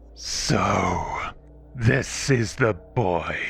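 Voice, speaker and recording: In a put-on character voice, a man speaks guttural and raspy at a medium pitch, with clear background noise. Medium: read story. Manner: strict, hissing.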